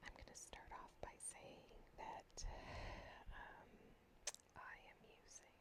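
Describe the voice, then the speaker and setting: Someone whispers. The pace is very slow. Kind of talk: casual talk to camera, whispered journal chat. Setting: home recording with basic earbud microphone. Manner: whispered, soft-spoken.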